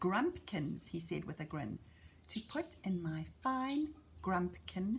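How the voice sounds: This is a natural reading voice. It reads through the text.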